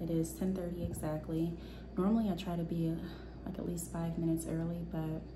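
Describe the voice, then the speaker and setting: Audible room echo around a woman speaking, noticeable background noise behind her. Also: fairly quick pace. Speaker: vlogger and entrepreneur. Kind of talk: casual vlog talk to camera. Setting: at home. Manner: soft-spoken, talking low.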